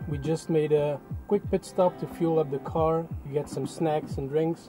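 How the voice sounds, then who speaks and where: Clear music plays in the background as a man speaks at a fairly slow pace with ordinary pitch variation, the sound dry with no echo. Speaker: car vlogger. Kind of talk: casual vlog chat. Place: car. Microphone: phone near.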